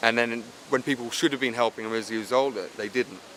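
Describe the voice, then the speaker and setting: With an English accent, a man talks in a fairly even intonation over noticeable background noise. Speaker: film director. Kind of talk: interview. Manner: hesitant, many fillers.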